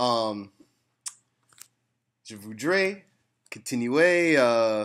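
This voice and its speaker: Speaking at a very slow pace, a man with a medium pitch uses lively intonation. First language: English (speaking French). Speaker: language learner. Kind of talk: casual chat. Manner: halting, many fillers.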